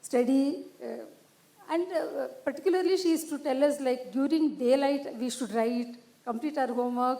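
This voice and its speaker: High-pitched woman at a moderate pace, ordinary pitch variation, noticeable background noise behind her. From India, Karnataka (Dharwad). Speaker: retired education official. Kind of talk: panel discussion. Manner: halting, many fillers.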